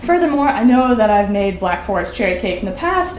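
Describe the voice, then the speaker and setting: A woman with an American accent talks at a fairly quick pace, with audible room echo and noticeable background noise. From US Midwest, Omaha, Nebraska. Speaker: college student. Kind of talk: reading aloud. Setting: stage with audience at a winery.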